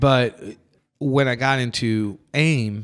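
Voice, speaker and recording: This is a man speaking. He has an American accent. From US South. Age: 40s. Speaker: podcast host and drummer. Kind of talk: casual chat; show outro. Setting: rehearsal studio. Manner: animated.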